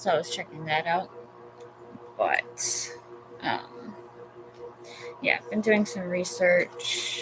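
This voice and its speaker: Speech comes at a very slow pace with long, frequent pauses. Music plays in the background. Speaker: tarot reader. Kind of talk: live tarot reading.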